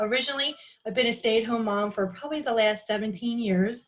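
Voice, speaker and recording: A woman is speaking in a fairly high pitch. Her voice is somewhat breathy. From Philadelphia, Pennsylvania. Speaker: direct sales team leader. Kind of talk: group video call introduction. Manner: hesitant, many fillers.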